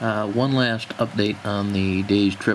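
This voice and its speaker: A man talks at a fairly low pitch while clearly audible noise fills the background. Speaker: university herping club member, amateur herper. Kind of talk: casual nature narration to camera.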